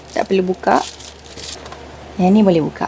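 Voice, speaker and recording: The voice is soft-spoken. Noticeable background noise can be heard behind it. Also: woman. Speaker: lifestyle vlogger. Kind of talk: casual vlog narration. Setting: home kitchen at night. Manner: soft-spoken, quiet.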